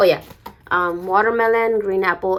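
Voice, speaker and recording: A woman speaks with a non-native accent. Her voice sits at a medium pitch and moves at a moderate pace. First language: not English. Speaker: beauty vlogger. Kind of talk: unboxing video. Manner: hesitant, many fillers.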